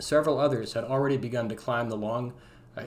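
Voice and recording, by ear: The clip has a person reading aloud in a natural voice.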